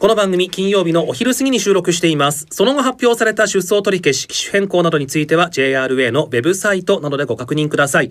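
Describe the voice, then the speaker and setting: A man with a high voice talks at a fairly quick pace with lively intonation and hardly any pauses. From Japan, Aomori. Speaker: announcer. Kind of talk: news reading. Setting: studio.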